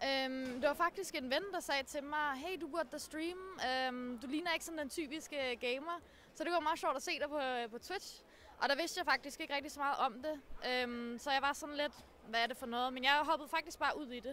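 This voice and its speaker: This woman's voice is high-pitched, raised and projected. Her tone is bright and sharp, and her pace is moderate. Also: ordinary pitch variation. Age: 20s. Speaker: streamer. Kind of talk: interview.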